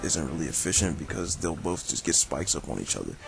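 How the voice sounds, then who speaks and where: A man talks with music in the background. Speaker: video game battle commentator. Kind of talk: game commentary narration. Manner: casual.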